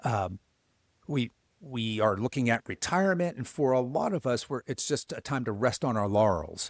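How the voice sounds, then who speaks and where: This is a man with a normal speaking voice, medium pitch and lively intonation at a moderate pace. The recording is very clean, with a silent background and a dry, close sound with no echo. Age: 60s. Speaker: men's coach for men over fifty. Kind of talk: podcast interview.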